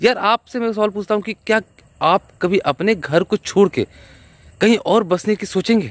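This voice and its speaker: A man speaks at a fairly slow pace with a high pitch. The sound is dry with no echo. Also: ordinary pitch variation. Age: 30s. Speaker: vlogger; video blogger giving opinion. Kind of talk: vlog movie reaction. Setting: outdoors riding a bicycle. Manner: halting. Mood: earnest, impassioned. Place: open country. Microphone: phone near.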